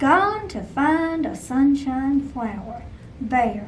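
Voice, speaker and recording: Someone speaks very slowly in a put-on character voice. Clear background noise runs underneath. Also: woman. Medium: read story.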